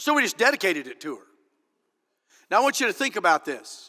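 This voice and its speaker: Raised and projected, a man's bright, sharp voice carries an animated tone and an American accent. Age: 50s. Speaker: political candidate. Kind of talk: political speech. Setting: stage with audience.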